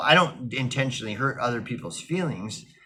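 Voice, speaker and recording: A man speaks loudly at medium pitch with a bright, sharp tone. His pitch varies in an ordinary way. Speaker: vlogger. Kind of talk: casual monologue. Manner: halting, many fillers and restarts.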